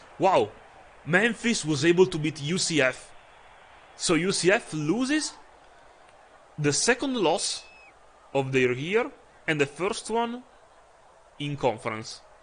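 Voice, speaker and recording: A man with an Italian accent and a high pitch, at a fairly slow pace, with very wide pitch swings and long, frequent pauses. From Italy. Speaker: video game streamer. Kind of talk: live gameplay commentary. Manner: hesitant, frequent uh fillers.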